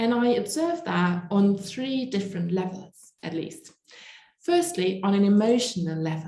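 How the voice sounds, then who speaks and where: The delivery is fairly slow, with lively intonation. The voice is somewhat breathy with a dark, mellow tone. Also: woman, medium pitch for a woman. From Germany. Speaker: evangelist and speaker. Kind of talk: conference talk.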